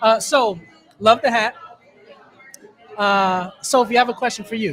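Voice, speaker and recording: Speech comes at a moderate pace in a Philadelphia accent. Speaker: podcast host. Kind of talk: live podcast interview. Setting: live event at a taco restaurant.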